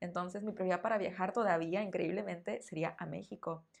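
Talking at a fairly quick pace, a woman uses a medium pitch. Her intonation is fairly even, in a northern Mexican accent. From northern Mexico. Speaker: Spanish teacher. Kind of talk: interview answers; podcast monologue.

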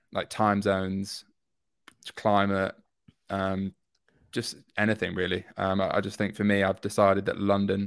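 A man's fairly low voice in a very clean recording with a silent background. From northern England, York. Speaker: entrepreneur, brand founder. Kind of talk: casual interview chat.

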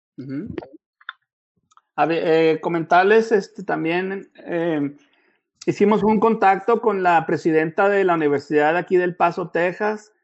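This man has a high pitch with ordinary pitch variation and speaks at a fairly slow pace. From northern Mexico (Chihuahua). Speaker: blood donor recruitment manager. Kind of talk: online talk / interview.

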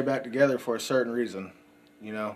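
Over noticeable background noise, a man with a Texan accent speaks very fast, keeping a fairly even intonation. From West Texas, Odessa. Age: 30s. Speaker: recovering addict. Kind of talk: recovery testimony.

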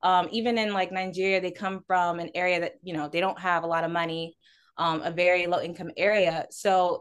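Against a quiet background, a woman with an American accent uses a normal speaking voice at medium pitch, speaking at a fairly quick pace with fairly even intonation. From Houston, Texas. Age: 20s. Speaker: community manager at an ad agency. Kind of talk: interview.

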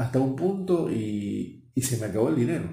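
A man with medium pitch and a dark, mellow, somewhat breathy tone speaks at a fairly slow pace with very wide pitch swings. Audible room echo surrounds his voice. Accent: Rioplatense. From Argentina, Buenos Aires. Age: 60s. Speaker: marketing professional and speaker. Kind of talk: interview.

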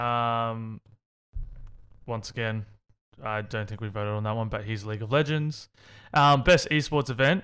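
A man with an Australian accent and a bright, sharp, medium-pitched voice speaks at a moderate pace with long, frequent pauses, on a very clean recording with a silent background. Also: ordinary pitch variation. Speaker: gaming podcast host. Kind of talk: casual chat.

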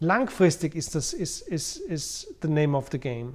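A man talks at a very slow pace. His voice is high in pitch. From Austria, Vienna. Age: 40s. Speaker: podcast host, former private banker. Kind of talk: casual talk on personal finance. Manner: frequent fillers and word repetitions.

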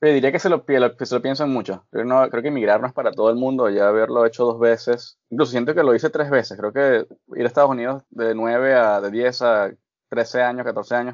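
A man talks at a fairly quick pace in an unremarkable speaking voice, medium in pitch, with fairly even intonation. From Venezuela, Barquisimeto (Lara). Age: 20s. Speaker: chef. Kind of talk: casual interview.

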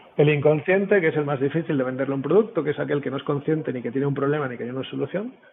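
A man talks at a very fast pace with hardly any pauses, his pitch fairly high. Noticeable background noise runs underneath. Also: ordinary pitch variation. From Spain. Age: 40s. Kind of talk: casual interview chat. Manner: animated, swears a lot.

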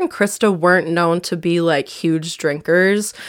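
At a moderate pace, a woman with an Upper Midwest accent speaks in a fairly low pitch. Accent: Upper Midwest American. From southern Wisconsin. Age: 20s. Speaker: true crime podcaster. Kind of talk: casual narration of a true crime case. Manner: casual, with many fillers.

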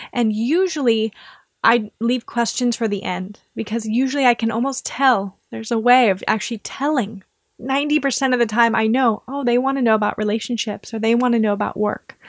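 A woman with an American accent and an unremarkable speaking voice talks at a fairly quick pace, fairly high in pitch, with fairly even intonation and a dry, close sound with no echo. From US Midwest. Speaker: Vedic astrologer. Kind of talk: interview conversation.

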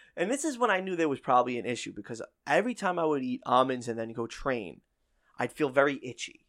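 A man with an American accent talks at a very fast pace, his fairly high voice full of lively intonation. The recording is very clean, with a silent background. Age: 30s. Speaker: radio host and podcaster. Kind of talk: casual chat. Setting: home recording.

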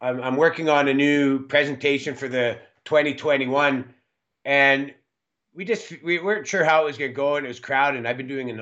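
A moderate pace against a quiet background. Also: man. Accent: western Canadian. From western Canada. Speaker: mining company executive. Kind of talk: interview.

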